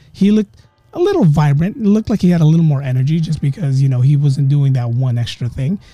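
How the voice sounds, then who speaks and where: A man with a fairly high voice talks at a fairly quick pace in a relaxed, dramatic tone. His intonation is lively, with music in the background. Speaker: podcast host. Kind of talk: ghost story telling, casual conversational retelling of a friend's haunting. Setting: home podcast recording with background music. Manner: relaxed, conversational, dramatic pauses, voicing characters in dialogue.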